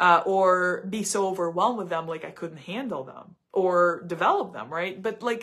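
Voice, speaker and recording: A woman speaks with a Russian accent at a medium pitch. Her pace is moderate and her pitch variation ordinary. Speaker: psychic tarot reader. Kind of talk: live stream psychic reading monologue. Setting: live stream. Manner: halting, many repetitions and fillers.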